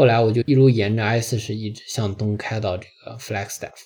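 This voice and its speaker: The background is quiet. A man speaks in a dark, mellow, somewhat breathy voice. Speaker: podcast host. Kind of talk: travel audio diary monologue.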